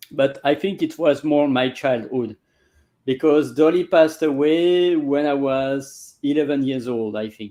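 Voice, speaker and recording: Heard over a quiet background, the voice carries a dark, mellow tone at a fairly slow pace with ordinary pitch variation. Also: man, fairly high pitch for a man. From Belgium. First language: French. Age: 40s. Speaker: language coach. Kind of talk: casual interview. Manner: halting.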